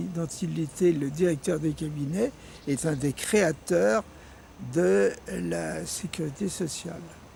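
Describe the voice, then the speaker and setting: A man's lively intonation at a very slow pace. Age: 90s. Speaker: former resistance member and activist. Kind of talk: interview. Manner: halting.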